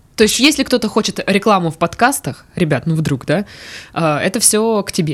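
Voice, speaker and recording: A woman talks at a moderate pace and medium pitch. Her pitch swings very widely. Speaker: podcast host. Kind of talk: casual chat. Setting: studio.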